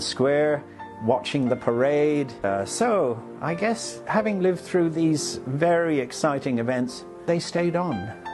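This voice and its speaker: A man at a fairly slow pace with lively intonation, music playing in the background. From China. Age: 60s. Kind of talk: interview answer.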